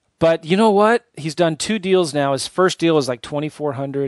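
Against a quiet background, a man with an American accent speaks with lively intonation in a dry, close sound with no echo. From San Diego, US. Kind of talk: podcast interview. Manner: laughs often.

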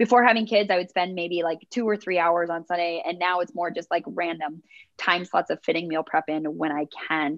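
In an American accent and a normal speaking voice, a woman talks at a fairly quick pace, with fairly low pitch and ordinary pitch variation. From US Midwest, rural Minnesota. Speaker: fitness instructor and content creator. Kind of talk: interview.

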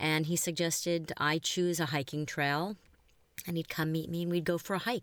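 A woman's plain, everyday voice, fairly low in pitch, at a moderate pace, dry and close with no echo on a very clean recording with a silent background. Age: 50s. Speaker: talent agent sharing a dating story. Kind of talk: interview, personal anecdote.

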